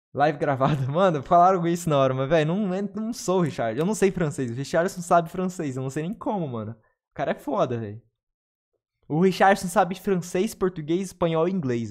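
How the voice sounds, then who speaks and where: Delivered at a fairly quick pace over a quiet background, the speech has lively intonation and big swings in loudness. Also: man, high pitch for a man. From Brazil. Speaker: gaming streamer. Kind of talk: casual chat. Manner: fast; animated. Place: home room. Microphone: studio mic.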